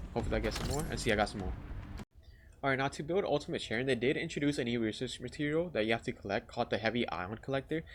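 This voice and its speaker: With vocal fry in his medium-pitched voice, a man talks at a very fast pace. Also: lively intonation. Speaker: gaming youtuber. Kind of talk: tutorial. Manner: casual.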